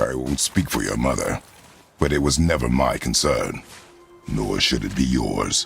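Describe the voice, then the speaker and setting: A man's very deep, low cartoonish character voice with faint music in the background. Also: moderate pace. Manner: terse, clipped, stern.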